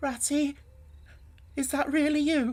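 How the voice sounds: A high-pitched, put-on character voice.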